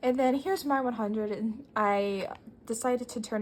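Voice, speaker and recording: Her voice somewhat breathy, a woman talks at a fairly quick pace with ordinary pitch variation. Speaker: artist and planner YouTuber. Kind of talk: casual show-and-tell vlog. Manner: rambling, casual with many fillers.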